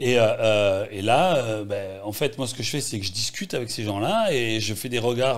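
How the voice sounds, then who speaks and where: Speaking at a moderate pace and medium pitch, a man talks with a slight Marseille accent. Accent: slight Marseille accent, kept here. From Marseille, France. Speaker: journalist and documentary filmmaker. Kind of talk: interview talk.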